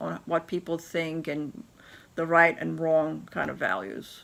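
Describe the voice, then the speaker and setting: A woman with a non-native accent at a fairly slow pace. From Turkey. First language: not English. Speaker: business leader. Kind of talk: interview storytelling.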